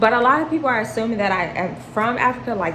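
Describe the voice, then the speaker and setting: Lively intonation and an animated tone mark this fairly quick speaker with an American accent. Audible room echo and noticeable background noise fill the recording. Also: woman. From US. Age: 20s. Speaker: vlogger. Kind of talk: casual Q&A chat.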